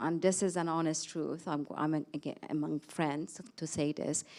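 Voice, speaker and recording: A woman's fairly low, dark, mellow voice with a non-native accent, on a very clean recording with a silent background. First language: not English. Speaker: panelist, academic leader. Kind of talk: panel discussion. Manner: halting.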